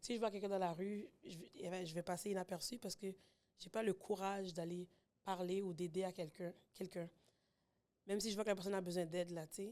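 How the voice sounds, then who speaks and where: Dark and mellow in tone, a woman speaks at a fairly quick pace with fairly even intonation. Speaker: podcast guest, mother. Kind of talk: casual chat. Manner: loud when at ease.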